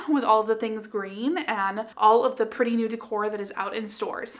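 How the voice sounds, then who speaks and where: A woman speaks with a bright, sharp tone at a moderate pace. The background is quiet. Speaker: home decor blogger. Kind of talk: casual vlog chat. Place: home room. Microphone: camera far.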